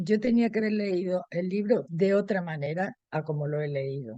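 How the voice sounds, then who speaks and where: With lively intonation, a woman speaks at a medium pitch in a dark, mellow tone, the sound dry and close with no echo. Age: 80s+. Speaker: book club member. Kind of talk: casual chat.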